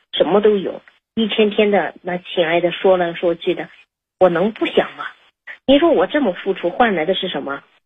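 The woman's intonation is lively. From China outside Liaoning. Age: 40s. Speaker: caller. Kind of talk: personal story on call-in. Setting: phone call. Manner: halting, many fillers.

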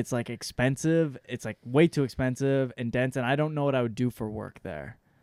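This man has an unremarkable speaking voice with an American accent, talking at a fairly quick pace with ordinary pitch variation in a dry, close sound with no echo. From southwest Michigan. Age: 30s. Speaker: stand-up comedian. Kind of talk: casual chat. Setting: studio.

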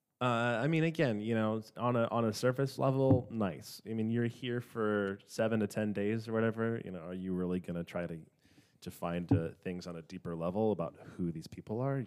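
Fairly low in pitch, a man talks at a fairly quick pace with an American accent in an unremarkable speaking voice. The recording is very clean, with a silent background. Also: ordinary pitch variation. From Minnesota, US. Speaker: guest. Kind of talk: casual chat.

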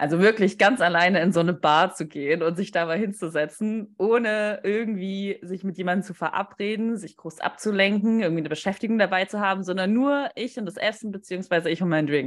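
At a fairly quick pace and with hardly any pauses, a woman with an ordinary speaking voice talks in a medium pitch with ordinary pitch variation, on a very clean recording with a silent background. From Stuttgart area, Germany. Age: 20s. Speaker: podcast co-host, marketing consultant. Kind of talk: casual chat.

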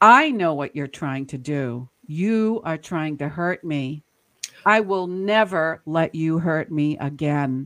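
A woman's put-on character voice, growling, very deep and low in pitch, at a fairly slow pace. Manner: hostile, threatening.

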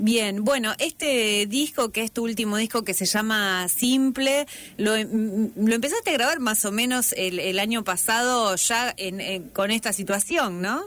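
A woman speaks in a plain, everyday voice at a fairly high pitch with ordinary pitch variation. Her pace is fairly slow, with hardly any pauses. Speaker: radio interviewer. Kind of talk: interview.

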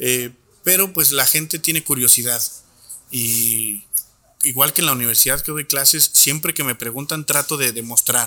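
A man's fairly high voice has a bright, sharp tone, a moderate pace, and ordinary pitch variation. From Torreón, Coahuila, northern Mexico. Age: 30s. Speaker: chef and wine educator. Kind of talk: guided tasting; casual interview chat. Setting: restaurant.

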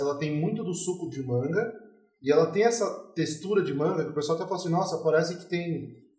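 A man speaks at a fairly high pitch and a fairly quick pace. Audible room echo surrounds his voice. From São Paulo, Brazil. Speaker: craft brewery co-founder. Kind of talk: casual chat.

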